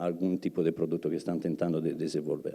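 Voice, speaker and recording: A man's voice with a dark, mellow tone. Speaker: research and development manager, guest speaker. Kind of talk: lecture. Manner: halting, many fillers.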